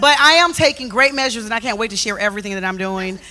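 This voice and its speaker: Over noticeable background noise, a woman talks in a raised, projected voice with an animated tone. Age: 50s. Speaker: talk show co-host. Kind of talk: casual chat.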